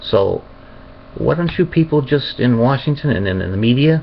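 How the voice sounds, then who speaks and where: Somewhat breathy and fairly high-pitched, a man with an American accent speaks at a moderate pace with lively intonation. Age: 60s. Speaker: would-be presidential candidate. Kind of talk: webcam political monologue. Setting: webcam recording. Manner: halting, with fillers and restarts.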